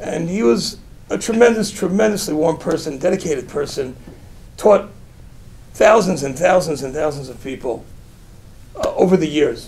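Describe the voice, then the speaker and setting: A man with an American accent talks at a high pitch and moderate pace, with lively intonation and big swings in loudness. He leaves long, frequent pauses, and there is noticeable background noise. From US Northeast, Brooklyn, New York. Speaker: rabbi. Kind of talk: inspirational talk with storytelling.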